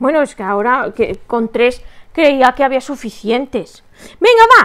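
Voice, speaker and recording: Over a quiet background, a woman speaks at a fairly slow pace and a high pitch. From Spain. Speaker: crochet teacher and shop owner; crochet livestream host. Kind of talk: live crochet tutorial with chat. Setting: live stream from home. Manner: animated. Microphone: webcam.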